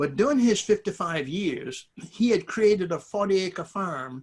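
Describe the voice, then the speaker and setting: A very clean recording of a man's voice, with a silent background. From US South. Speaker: community elder and speaker. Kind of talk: conversational interview reflection. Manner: halting.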